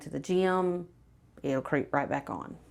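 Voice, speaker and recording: The woman has a fairly low voice and an American accent. The recording is very clean with a silent background. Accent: Southern, stronger on camera than she thinks. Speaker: weight loss client. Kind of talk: testimonial interview. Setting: filmed interview on camera.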